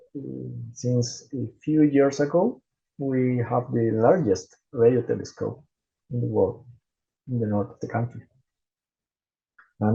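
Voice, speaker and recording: A man's medium-pitched voice, dark and mellow in tone and somewhat breathy, fairly slow with long, frequent pauses, fairly even intonation and big swings in loudness. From Chile. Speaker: gastroenterologist. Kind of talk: conference presentation. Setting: conference stage. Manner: halting, with repetitions.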